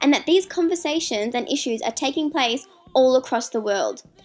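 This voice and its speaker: Music plays in the background as a woman speaks in a high pitch. Her pace is fairly quick and her intonation lively. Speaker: university student. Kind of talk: documentary narration for school assignment.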